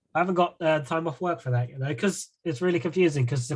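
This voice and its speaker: A man, somewhat breathy, at a very fast pace. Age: 30s. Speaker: podcast host. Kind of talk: casual chat.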